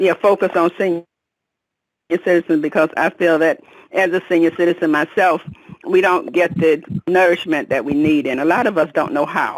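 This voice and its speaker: At a moderate pace broken by long, frequent pauses, a woman speaks in a fairly low pitch with ordinary pitch variation. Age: 60s. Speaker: caller. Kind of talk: testimony.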